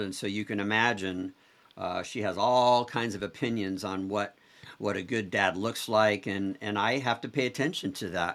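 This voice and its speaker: With fairly even intonation, a man talks at a moderate pace in an unremarkable speaking voice, pitched fairly low. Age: 60s. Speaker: entrepreneur and author. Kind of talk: interview conversation.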